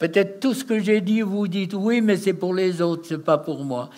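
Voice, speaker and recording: A man is talking. Ordinary pitch variation runs through his speech. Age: 80s+. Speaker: deliverance minister. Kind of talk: deliverance prayer. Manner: forceful, commanding.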